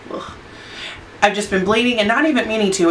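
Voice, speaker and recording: Over noticeable background noise, a woman's voice carries an audible room echo. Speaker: beauty vlogger. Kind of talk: casual product review. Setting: home studio under lights. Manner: fast; halting.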